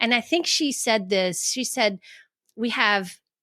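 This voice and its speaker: A woman speaks at a fairly slow pace, her pitch medium with ordinary variation. Her tone is bright and sharp, and the recording is very clean with a silent background. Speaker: life coach and author. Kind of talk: podcast interview. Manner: halting, many restarts.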